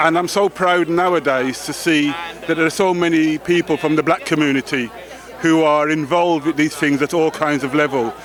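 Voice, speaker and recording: Over noticeable background noise, the speaker keeps a fairly quick pace, very even loudness and fairly even intonation. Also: man, fairly high pitch for a man. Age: 60s. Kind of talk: red carpet interview. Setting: outdoors at awards red carpet.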